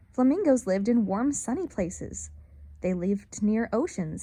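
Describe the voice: Lively intonation shapes this plain reading aloud.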